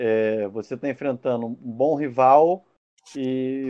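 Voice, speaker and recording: This man has an ordinary speaking voice at medium pitch. His intonation stays fairly even. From Rio de Janeiro state, Barra Mansa. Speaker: football pundit. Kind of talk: casual chat.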